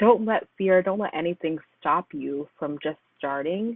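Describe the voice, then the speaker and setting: A woman speaks in a fairly low pitch with an unremarkable speaking voice. Her pitch varies in an ordinary way. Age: 20s. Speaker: singer and singing coach. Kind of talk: casual chat.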